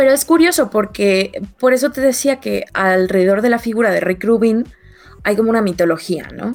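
Speaking in a Mexican accent, a woman uses a fairly high pitch and lively intonation at a moderate pace over noticeable background noise. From Mexico. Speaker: podcast co-host. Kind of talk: casual chat.

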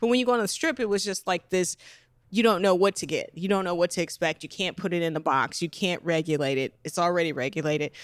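A woman with an American accent talks very fast, her pitch moving in an ordinary way, in a dry, close recording with no echo. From Las Vegas, Nevada, US. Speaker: adult filmmaker and shop owner. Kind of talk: interview. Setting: in her shop.

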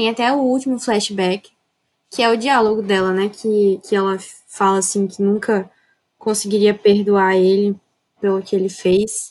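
The speaker moves at a fairly slow pace with long, frequent pauses, fairly even intonation and very even loudness. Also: woman, medium pitch for a woman. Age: young. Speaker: architecture student, gamer. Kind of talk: casual chat.

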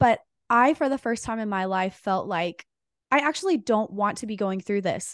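A woman with a normal speaking voice talks in an American accent at a fairly high pitch, with lively intonation and a moderate pace. The sound is dry and close with no echo, and the background is quiet. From Texas, Dallas-Fort Worth. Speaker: author and women's coach, podcast host. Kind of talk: interview.

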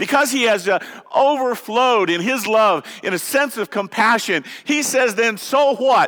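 This man's voice is extremely high, bright and sharp, raised and projected. He speaks at a moderate pace with lively intonation. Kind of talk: sermon. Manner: animated, fervent call-and-response, urging the congregation to shout amen; emotional, heartfelt, repeating phrases for emphasis.

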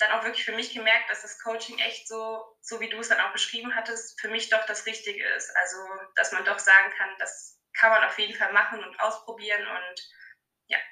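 A woman's voice with audible room echo. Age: 20s. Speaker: fitness coaching client, trainee childcare worker. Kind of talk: casual interview.

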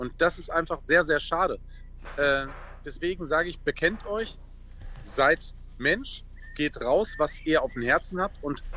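A man speaks at a very slow pace. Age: 40s. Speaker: former footballer and charity founder. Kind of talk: casual chat.

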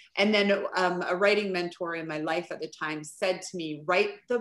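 A plain, everyday voice talks at a fairly slow pace. Its pitch variation is ordinary. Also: woman. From Vancouver Island, British Columbia, Canada. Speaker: author and parent. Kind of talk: casual chat.

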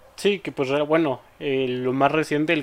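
In a normal speaking voice, a man talks at a fairly slow pace, medium in pitch and with ordinary pitch variation. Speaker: podcast host. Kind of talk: casual chat.

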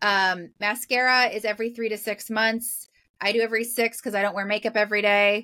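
A woman with a fairly high, bright and sharp voice speaks very fast in a flat monotone. The recording is very clean with a silent background. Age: 40s. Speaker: professional organizer. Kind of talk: casual chat.

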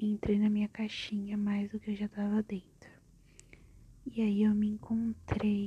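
Woman with a dark, mellow tone, somewhat breathy and monotone with flat intonation, at a fairly slow pace with long, frequent pauses. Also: medium pitch for a woman. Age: 20s. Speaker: podcaster. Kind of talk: personal monologue.

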